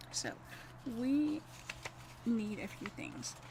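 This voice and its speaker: A woman speaks at a fairly high pitch with ordinary pitch variation. Noticeable background noise runs underneath. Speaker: card-making instructor. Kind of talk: live craft tutorial. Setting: livestream.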